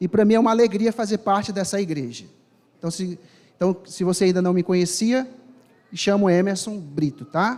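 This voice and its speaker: A man talks in a high voice. He leaves long, frequent pauses. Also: ordinary pitch variation, moderate pace. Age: 30s. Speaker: preacher. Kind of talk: sermon. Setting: church with congregation.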